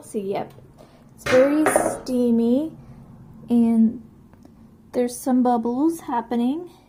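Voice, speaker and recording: A woman talks with fairly even intonation. Noticeable background noise is present. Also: long, frequent pauses, big swings in loudness. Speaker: yarn dyer and video host. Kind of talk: tutorial. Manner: casual, hesitant with frequent ums.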